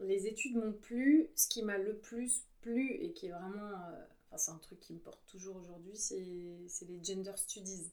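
A woman talks at a fairly slow pace in a dark, mellow tone at medium pitch. Her pitch variation is ordinary, while her loudness swings widely. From Paris suburbs, France (Yvelines). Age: 40s. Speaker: illustrator and graphic facilitator. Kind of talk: conversational interview. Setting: home studio. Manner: hesitant, many filler sounds.

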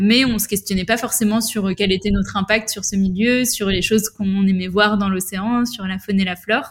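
A woman speaks at a moderate pace with hardly any pauses. Her medium-pitched voice is somewhat breathy, with fairly even intonation. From western France, La Rochelle. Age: 20s. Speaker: environmental association co-founder. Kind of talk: interview conversation.

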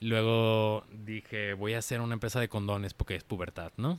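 Medium pitch from a male speaker, captured in a very clean recording against a silent background. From Mexico, Guadalajara/Zapopan, Jalisco. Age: 30s. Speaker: design studio founder. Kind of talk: casual interview. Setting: in his office garden.

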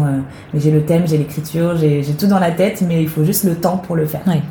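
A woman with a fairly low pitch speaks at a fairly quick pace with fairly even intonation. Noticeable background noise can be heard. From western France, near Nantes (Loire-Atlantique). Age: 20s. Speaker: actress and theatre director. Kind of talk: interview. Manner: hesitant, many fillers.

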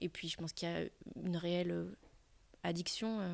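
On a very clean recording with a silent background, a woman with a medium pitch speaks at a moderate pace. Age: 40s. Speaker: primary school teacher and amateur triathlete. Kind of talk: interview. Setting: at her school workplace.

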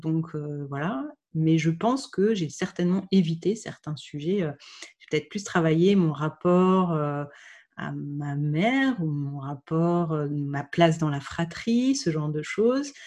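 With a dark, mellow tone and fairly low pitch, a woman speaks very slowly with hardly any pauses against a quiet background. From France, Burgundy (Dijon). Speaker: podcaster sharing her infertility journey. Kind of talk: interview. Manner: halting.

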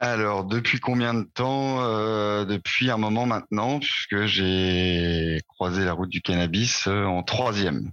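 Against a quiet background, a man with a fairly low voice speaks very slowly with hardly any pauses, very even loudness and ordinary pitch variation. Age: 30s. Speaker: IT project manager, cannabis user interviewed. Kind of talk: interview testimony. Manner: hesitant, many fillers.

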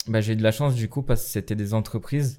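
A man with a dark, mellow tone and a fairly low pitch is heard in a very clean recording with a silent background. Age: 20s. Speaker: graphic designer and dancer. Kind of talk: casual chat.

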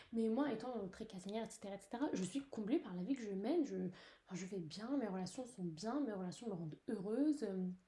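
Somewhat breathy, with a dark, mellow tone, a woman speaks with hardly any pauses. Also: fairly high pitch for a woman, lively intonation, moderate pace. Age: young. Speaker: podcaster. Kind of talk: personal monologue. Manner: hesitant, many fillers. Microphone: poor recording.

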